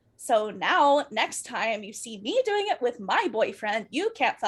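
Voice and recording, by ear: A natural voice, reading aloud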